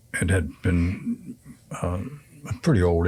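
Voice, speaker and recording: A man's very deep, low voice comes through somewhat breathy on a very clean recording with a silent background. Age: 70s. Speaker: senior community resident, pool league organizer. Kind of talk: interview.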